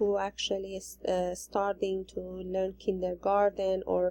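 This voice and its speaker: At a fairly slow pace, a woman with a non-native accent talks in a medium pitch with a dark, mellow tone. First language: not English. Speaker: ESL teacher in training. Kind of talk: recorded assignment presentation. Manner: halting.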